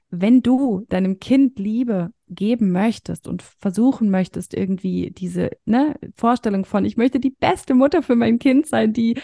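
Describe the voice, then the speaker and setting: A woman speaks at a very slow pace in a dark, mellow, somewhat breathy tone, with ordinary pitch variation. The sound is dry and close, with no echo. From northern Germany, near Hamburg. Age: 30s. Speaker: coach for mothers. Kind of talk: interview conversation.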